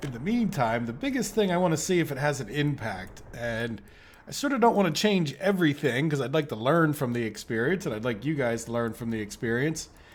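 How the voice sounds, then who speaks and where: At a fairly quick pace, a man with a fairly high voice swings his pitch very widely. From United States. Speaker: gaming YouTuber. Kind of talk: let's play commentary. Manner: casual, thinking aloud.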